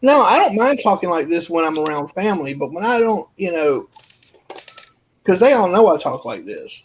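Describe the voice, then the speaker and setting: The voice carries an American accent. It keeps a moderate pace. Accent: Southern US, sometimes hidden. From US South. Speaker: panelist on livestream. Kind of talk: casual chat.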